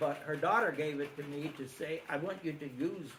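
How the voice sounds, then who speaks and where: Audible room echo and noticeable background noise surround a fairly high-pitched man whose pitch varies in an ordinary way. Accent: American. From Pennsylvania, Schuylkill County. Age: 80s+. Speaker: local elder recounting childhood memories. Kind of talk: reminiscing talk with Q&A. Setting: presentation to small audience. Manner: halting with many fillers.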